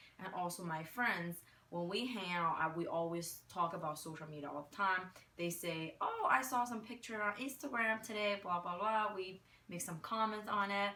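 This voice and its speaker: A woman at medium pitch with a Chinese accent, ordinary pitch variation and a moderate pace, over noticeable background noise. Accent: Chinese-accented American English. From China. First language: Mandarin Chinese. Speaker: retail worker and marketing graduate. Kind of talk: interview answers. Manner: hesitant, many fillers.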